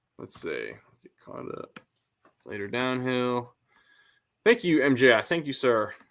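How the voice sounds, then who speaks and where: A man with an American accent talks with big swings in loudness. He leaves long, frequent pauses. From northern Connecticut, US New England. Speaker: car YouTuber. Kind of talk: live stream chat with viewers. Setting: live stream. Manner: casual, halting with repeated words.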